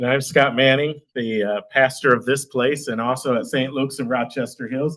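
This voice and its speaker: A man's medium-pitched, a normal speaking voice at a moderate pace. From Michigan, Midland area. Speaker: pastor and city council candidate. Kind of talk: campaign speech at meeting.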